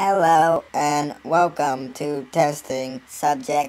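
A put-on character voice at a low-to-middle pitch, delivered at a very slow pace. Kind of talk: machinima voice acting. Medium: machinima. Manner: deadpan, passive-aggressive, mocking.

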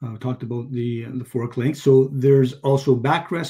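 Against a quiet background, a man with a dark, mellow tone and a somewhat breathy voice talks at a moderate pace in a monotone, flat intonation. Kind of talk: webinar product explanation. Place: home room. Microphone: webcam.

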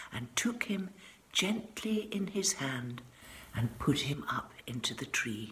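Against audible room echo, a woman speaks slowly with lively intonation and a fairly bright tone.

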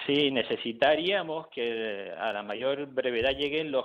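Fairly even in intonation, a man talks in an ordinary speaking voice at a medium pitch. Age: 60s. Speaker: family doctor. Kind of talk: radio interview.

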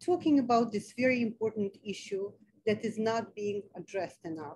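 There is light background noise as a woman talks at a moderate pace with ordinary pitch variation. Her fairly high voice is somewhat breathy, with a dark, mellow tone. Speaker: foundation president and webinar moderator; webinar moderator. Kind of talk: webinar moderation. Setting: video call. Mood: warm, grateful. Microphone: video call.

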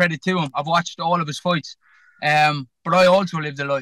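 In an Irish accent, a man with a high pitch and a bright, sharp tone talks at a moderate pace with fairly even intonation, the sound dry with no echo against a quiet background. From Ireland. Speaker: professional boxer; boxer on podcast. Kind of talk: pre-fight interview. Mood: calm, confident. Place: car. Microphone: phone near.

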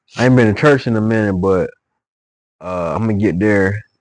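Against a quiet background with a dry sound and no echo, a man speaks at a moderate pace. He is fairly low in pitch, with a relaxed tone. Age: 30s. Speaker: musician and vlogger; vlogger. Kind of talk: casual monologue video update. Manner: relaxed, repetitive filler. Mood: relaxed, reflective, preachy at times. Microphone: new microphone; phone near.

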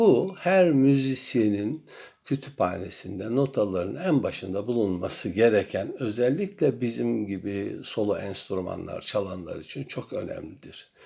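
A dark, mellow tone with very wide pitch swings and hardly any pauses. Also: man, medium pitch for a man, fairly slow pace. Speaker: music professor. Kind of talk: welcome address to students. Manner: formal.

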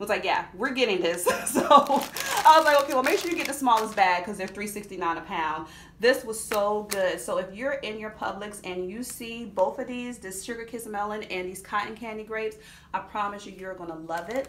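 Lively intonation and big swings in loudness mark this woman's fairly quick speech, with light background noise. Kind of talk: casual vlog chat. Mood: cheerful, enthusiastic. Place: home room. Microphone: phone near.

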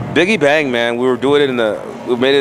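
A man talks at a very fast pace with fairly even intonation. The sound is dry with no echo, and background noise is noticeable. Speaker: interviewee. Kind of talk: interview answer. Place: home room. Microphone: handheld.

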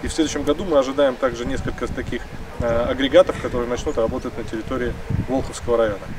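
A man at a very fast pace over noticeable background noise. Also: ordinary pitch variation. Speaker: district official. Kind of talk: on-site interview. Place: open country.

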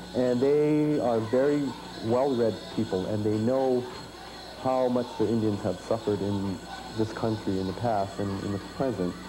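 There is noticeable background noise behind a man whose pitch varies in an ordinary way. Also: medium pitch for a man, moderate pace. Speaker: musician and dancer. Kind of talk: interview.

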